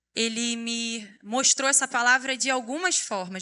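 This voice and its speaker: A woman speaks in a Rio de Janeiro accent with a bright, sharp tone. Her pitch is fairly high, with ordinary pitch variation. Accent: carioca (Rio). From Rio de Janeiro, Brazil. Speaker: preacher, youth pastor. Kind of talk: sermon. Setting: church stage with audience.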